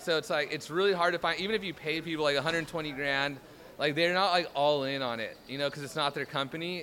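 A man with an American accent talks at a fairly quick pace in an ordinary speaking voice, his fairly high pitch showing ordinary variation. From Southern California. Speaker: startup founder. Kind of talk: street interview.

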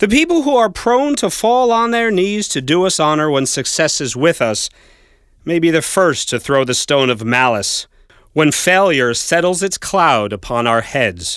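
A man with a high voice speaks at a moderate pace with very wide pitch swings, in a very clean recording with a silent background. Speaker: narrator reading a speech aloud. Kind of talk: courtroom oratory, solemn formal jury address. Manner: measured, stately, impassioned and rhetorical.

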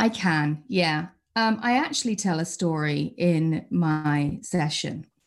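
With a British accent, a woman speaks at a very slow pace in a fairly low voice. Her intonation is lively, and her loudness stays very even. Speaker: customer support leader. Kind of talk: interview. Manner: halting.

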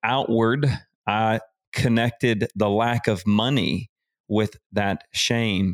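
A man's medium-pitched voice with a Southern US accent, fairly even intonation, and a very clean recording over a silent background. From US South. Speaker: business and life coach. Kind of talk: casual interview chat.

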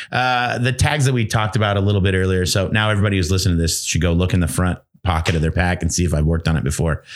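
A man with a very deep, low pitch talks at a very fast pace with hardly any pauses, recorded very cleanly against a silent background. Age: 40s. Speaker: gear repair supervisor. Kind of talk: casual chat.

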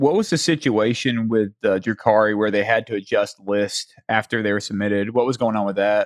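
In a Southern US accent, a man talks at a fairly quick pace with fairly low pitch and hardly any pauses. The sound is dry and close with no echo, over a quiet background. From US South. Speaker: podcast host. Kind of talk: casual interview.

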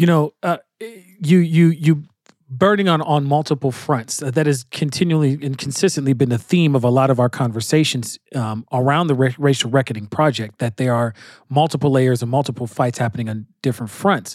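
A man with an American accent has an unremarkable speaking voice, fairly high in pitch with ordinary pitch variation. He talks at a fairly quick pace on a very clean recording with a silent background. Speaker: radio host. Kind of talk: panel discussion on current events.

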